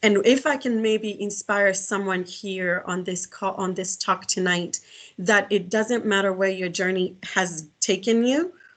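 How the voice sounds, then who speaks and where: A woman with a Kenyan accent at a medium pitch, fairly slow, with ordinary pitch variation and a quiet background. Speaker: executive director and career speaker. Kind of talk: guest lecture. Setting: video call. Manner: halting, many fillers and restarts.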